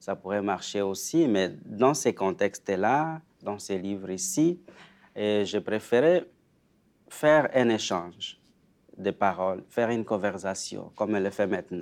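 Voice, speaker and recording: Long, frequent pauses break up a man's very slow speech, which has a fairly low pitch and lively intonation. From Democratic Republic of the Congo. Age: 40s. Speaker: author and spiritual care worker. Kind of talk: interview. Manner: halting.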